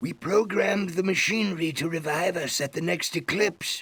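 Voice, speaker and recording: The speaker is a man. His voice is a put-on character voice. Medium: video game. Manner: formal, solemn.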